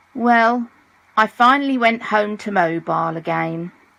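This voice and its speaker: A woman with a British accent speaks at a fairly high pitch. Her pace is fairly slow, with ordinary pitch variation. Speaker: audiobook narrator. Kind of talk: audiobook reading.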